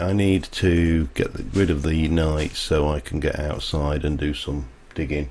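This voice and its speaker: Over noticeable background noise, a man with a very deep, low pitch speaks at a fairly slow pace with ordinary pitch variation. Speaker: gaming streamer. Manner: casual, rambling.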